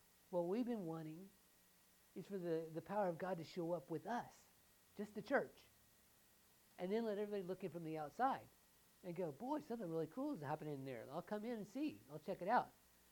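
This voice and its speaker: A woman talks at a very fast pace with a Southern US accent and lively intonation. She takes long, frequent pauses. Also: medium pitch for a woman. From US South. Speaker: pastor. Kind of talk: sermon. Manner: halting.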